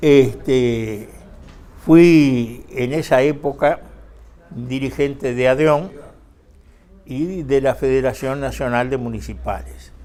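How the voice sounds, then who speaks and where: Delivery is very slow, with fairly even intonation and long, frequent pauses. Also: man, medium pitch for a man. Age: 80s+. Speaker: retired trade union leader. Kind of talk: interview testimony. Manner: halting, many fillers.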